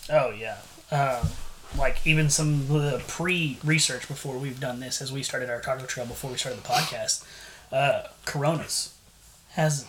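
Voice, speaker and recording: A man with an American accent speaks at a moderate pace with a fairly high pitch and fairly even intonation. There is noticeable background noise and audible room echo. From San Antonio, Texas. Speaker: podcast co-host. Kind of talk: casual chat.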